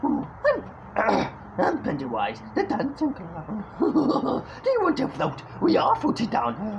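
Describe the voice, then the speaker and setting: Clear background noise accompanies a high-pitched, put-on character voice. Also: fairly slow pace. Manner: creepy, menacing.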